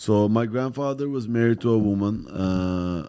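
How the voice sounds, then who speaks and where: Lively intonation and a dark, mellow tone mark this man's speech in a Turkish accent. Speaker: comedian. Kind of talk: casual chat.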